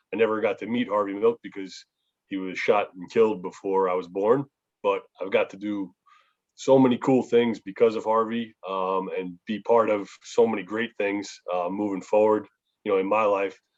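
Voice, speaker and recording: At a moderate pace, a man with a fairly low pitch speaks in a flat monotone. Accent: New York. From New York, Long Island. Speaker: public speaker on family legacy. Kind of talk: talk to youth group on video call. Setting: video call.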